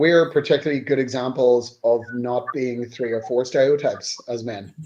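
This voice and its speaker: A man with a strong Northern Irish accent speaks at a moderate pace in a medium pitch, his intonation fairly even. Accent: Northern Irish (Newry), strong. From Northern Ireland, Newry. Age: middle-aged. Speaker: band member. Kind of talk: casual chat.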